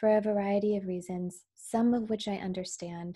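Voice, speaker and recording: Over a quiet background, a woman speaks at a medium pitch with a dark, mellow tone. Her intonation is fairly even. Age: 30s. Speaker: podcaster. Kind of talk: personal monologue.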